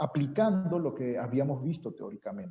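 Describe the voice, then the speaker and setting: This man has a fairly high voice with a dark, mellow tone and a somewhat breathy quality. His pitch varies in an ordinary way. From Venezuela. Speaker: university professor. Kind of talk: seminar introduction.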